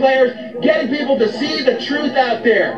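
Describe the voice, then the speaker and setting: An extremely high-pitched man's voice at a moderate pace, fairly even in intonation, with crowd noise behind him. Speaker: health and wellness commentator, chiropractic-minded podcaster. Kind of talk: angry anti-establishment rant, preacher-like sermon to camera. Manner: loud, fired-up and confrontational, hammering points and barking orders at the audience.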